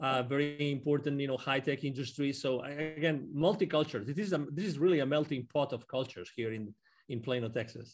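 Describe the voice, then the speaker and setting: Hardly pausing, a man speaks at a fairly quick pace with ordinary pitch variation. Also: fairly high pitch for a man. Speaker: business consultant. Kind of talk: casual interview. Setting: remote call. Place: home room. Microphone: video call.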